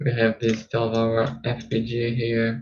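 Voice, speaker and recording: Somewhat breathy and at a medium pitch, a man with a non-native accent speaks at a very slow pace. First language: not English. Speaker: trading streamer. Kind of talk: casual live stream chat. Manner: halting, frequent fillers and repeats.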